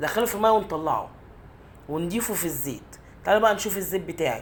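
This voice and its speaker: A woman is speaking. She has an Egyptian accent. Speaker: cooking channel host. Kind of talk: cooking tutorial. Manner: halting.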